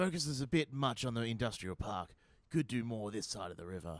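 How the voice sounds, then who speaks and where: A man puts on a raspy character voice at a medium pitch, talking at a fairly quick pace. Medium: audio drama. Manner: casual, offhand.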